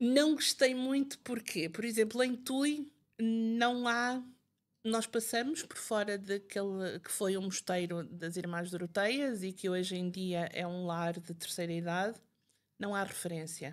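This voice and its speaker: Recorded very cleanly against a silent background, a woman with a northern Portuguese accent speaks at a fairly slow pace with lively intonation. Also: medium pitch for a woman. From northern Portugal, Barcelos. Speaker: writer and Fátima history expert. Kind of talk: interview conversation. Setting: podcast recording.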